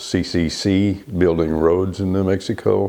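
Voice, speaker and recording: Very slowly and with fairly even intonation, a man with a West Texas accent talks in a very deep, low voice. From Texas Panhandle. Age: 80s+. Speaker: retired naturalist volunteer. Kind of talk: oral history interview.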